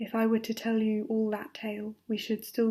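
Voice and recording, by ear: The words are read aloud in a natural voice.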